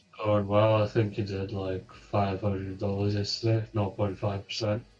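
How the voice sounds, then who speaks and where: This is a quiet, somewhat breathy male voice with a fairly low pitch. He speaks in a monotone with flat intonation. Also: moderate pace. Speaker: trader on live stream. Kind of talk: casual chat.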